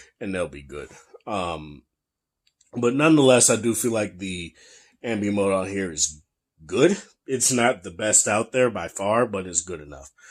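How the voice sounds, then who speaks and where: In a very clean recording with a silent background, a man with a fairly low pitch speaks at a moderate pace, with lively intonation, big swings in loudness, and long, frequent pauses. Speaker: tech reviewer. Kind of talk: product review. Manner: casual.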